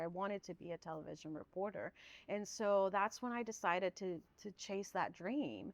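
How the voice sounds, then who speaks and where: A woman speaks with a Spanish accent at a moderate pace. Her pitch is medium, with ordinary variation. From Guatemala, moved to Southern California as a child. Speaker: public information officer, former TV reporter. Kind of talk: podcast interview.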